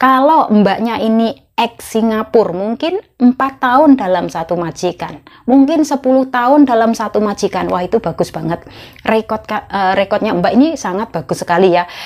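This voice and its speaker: A woman speaks at a moderate pace with a fairly high pitch. Her intonation is lively, and the background is quiet. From Indonesia. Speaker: migrant domestic worker vlogger. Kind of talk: casual vlog monologue. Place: home room. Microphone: lapel.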